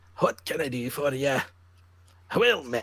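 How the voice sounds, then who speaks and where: A man speaks in a put-on character voice, pitched fairly high. His pace is moderate. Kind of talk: fantasy game NPC greeting. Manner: cheerful, gruff.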